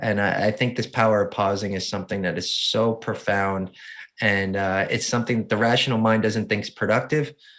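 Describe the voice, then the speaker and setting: A man talks at a fairly quick pace in a New Jersey accent. His pitch is fairly low and his intonation fairly even. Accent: New Jersey accent, noticeable. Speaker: motivational speaker and adaptive surfer. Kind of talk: interview.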